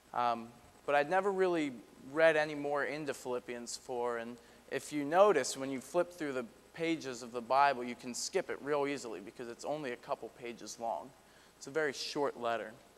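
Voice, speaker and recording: Big swings in loudness mark a man's fairly high voice. He talks at a fairly quick pace with ordinary pitch variation. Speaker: youth ministry director and guest preacher. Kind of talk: church sermon. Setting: church service. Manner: casual, hesitant, with frequent fillers.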